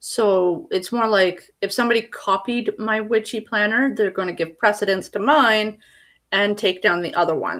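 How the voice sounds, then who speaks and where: On a very clean recording with a silent background, a woman with a fairly high pitch and ordinary pitch variation speaks at a moderate pace. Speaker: YouTuber and self-publishing author. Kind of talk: livestream tutorial. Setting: livestream video at home. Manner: casual, halting with fillers.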